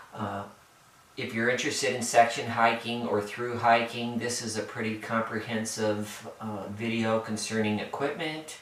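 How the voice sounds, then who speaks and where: A man speaks in a monotone, flat voice. Noticeable background noise and audible room echo surround him. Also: medium pitch for a man, moderate pace. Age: 60s. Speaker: hiker. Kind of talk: gear tutorial. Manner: halting, many fillers.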